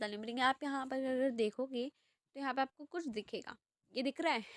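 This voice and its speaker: A woman speaks in a high pitch with fairly even intonation. The sound is dry and close, with no echo. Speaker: youtuber sharing job vacancies. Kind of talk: screen-share tutorial. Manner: casual, conversational.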